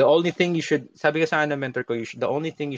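A man with a Filipino accent, in a dry, close sound with no echo. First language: Tagalog. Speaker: magician. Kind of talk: casual chat. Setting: live stream.

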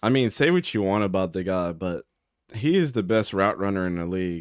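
A man with an American accent has an unremarkable speaking voice, captured in a very clean recording with a silent background. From Baltimore, Maryland. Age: 30s. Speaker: football podcast host. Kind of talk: casual chat.

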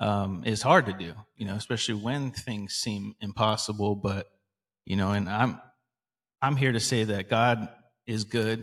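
A man with a normal speaking voice, fairly low in pitch, at a moderate pace with fairly even intonation, on a very clean recording with a silent background. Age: 40s. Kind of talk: casual faith discussion.

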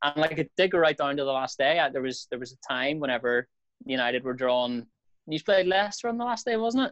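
A man with a Northern Irish accent and lively intonation. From Belfast, Northern Ireland. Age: 20s. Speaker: radio presenter. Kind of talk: casual chat.

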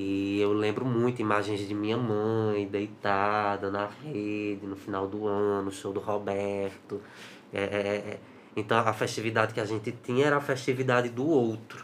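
A man's plain, everyday voice at a fairly low pitch, with fairly even intonation and a fairly slow pace. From Brazil, Ceará (Juazeiro do Norte). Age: 20s. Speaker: actor and cultural producer. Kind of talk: interview.

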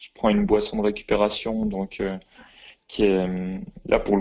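The pace is moderate. A man is speaking. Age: 20s. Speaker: athlete and physiotherapist. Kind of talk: interview.

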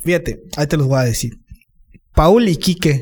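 This is a man speaking. His pitch is fairly high. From Campeche, Mexico (Calkiní). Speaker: musician. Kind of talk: casual chat.

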